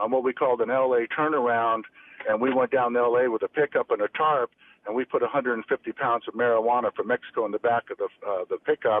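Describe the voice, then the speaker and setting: A man with a medium pitch at a fairly quick pace. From San Francisco Bay Area, California. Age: 60s. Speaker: former cannabis dealer. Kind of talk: interview storytelling. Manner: animated.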